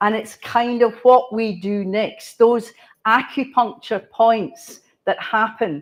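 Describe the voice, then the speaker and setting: A woman speaks with a Scottish accent at a very slow pace. Her intonation stays fairly even over a quiet background. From Scotland. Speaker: cultural planner. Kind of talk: conference talk.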